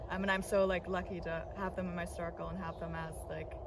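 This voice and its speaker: Someone with a German accent talks at a very fast pace, with noticeable background noise and audible room echo. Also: woman. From Berlin, Germany. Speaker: singer and electronic music producer. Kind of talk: interview. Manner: casual, many fillers.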